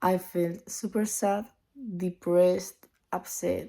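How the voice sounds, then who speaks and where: A woman's medium-pitched voice with a Spanish accent, a dark, mellow tone and monotone, flat intonation. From Spain. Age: 20s. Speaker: vlogger. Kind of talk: casual vlog monologue.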